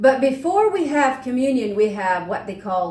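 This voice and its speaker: Noticeable background noise accompanies a woman's high-pitched voice. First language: Swiss German dialect. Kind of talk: casual chat.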